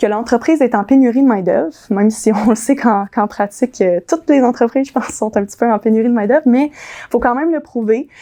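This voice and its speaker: Talking at a very fast pace, a woman has a high pitch with ordinary variation and a dark, mellow tone. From US, moved to Quebec in childhood. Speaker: immigration lawyer. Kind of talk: conference presentation. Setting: dinner conference room with audience. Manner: hesitant, many fillers.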